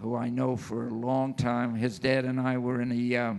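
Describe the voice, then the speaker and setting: Over noticeable background noise, a man talks at a fairly slow pace in a monotone, flat intonation. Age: 80s+. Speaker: golden age comic book artist. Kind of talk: convention panel talk.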